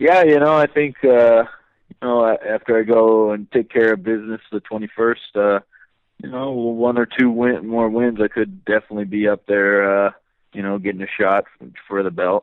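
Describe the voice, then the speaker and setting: In an ordinary speaking voice, a man talks at a moderate pace with medium pitch, ordinary pitch variation and big swings in loudness. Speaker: UFC lightweight fighter. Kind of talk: interview. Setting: phone call.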